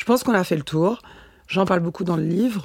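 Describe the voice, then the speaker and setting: A woman with a fairly low pitch and vocal fry, at a fairly quick pace, in a very clean recording with a silent background. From France, Nancy. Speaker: model and actress. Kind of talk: interview. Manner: halting.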